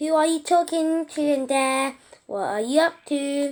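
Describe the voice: Putting on a character voice, a woman speaks raised and projected at a moderate pace, high-pitched and shrill, with ordinary pitch variation.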